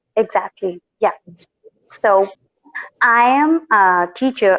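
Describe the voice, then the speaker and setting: A non-native accent in a dry, close sound with no echo. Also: woman. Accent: noticeable non-native. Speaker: tutor and YouTuber. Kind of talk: casual chat.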